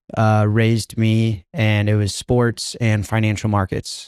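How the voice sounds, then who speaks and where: A man's medium-pitched, fairly slow voice, dry and close with no echo, in a very clean recording over a silent background. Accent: American. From US Midwest, Chicago. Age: young. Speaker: bitcoin entrepreneur. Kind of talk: podcast interview.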